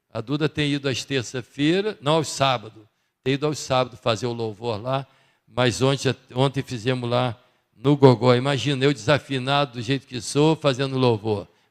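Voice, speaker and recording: In a very clean recording with a silent background, a man with a normal speaking voice talks at a moderate pace, his medium pitch showing ordinary variation. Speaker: church member giving announcements. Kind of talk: church announcements. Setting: church service. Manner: casual, conversational.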